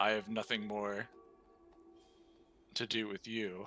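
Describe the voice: A put-on character voice rumbles along at a fairly slow pace in a monotone, flat intonation, with clear music in the background. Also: man, fairly low pitch for a man.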